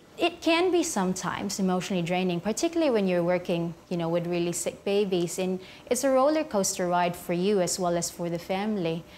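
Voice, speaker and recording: A woman talks at a very fast pace with hardly any pauses, medium in pitch with ordinary variation. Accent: Filipino. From Philippines. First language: Filipino language. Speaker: neonatal nurse. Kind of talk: interview. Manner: quiet demeanor.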